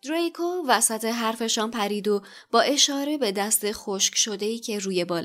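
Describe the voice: Plain reading aloud is all that is heard.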